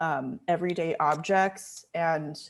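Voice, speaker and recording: This woman's voice sits at a fairly low pitch. She has an American accent. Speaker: visual artist, sculptor. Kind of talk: artist talk presentation. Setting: video call with screen share. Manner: casual, many fillers.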